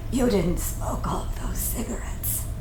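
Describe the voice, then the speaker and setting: Over loud background noise, someone whispers in a put-on character voice at a moderate pace, with a slight echo. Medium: audio drama. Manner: wry, teasing.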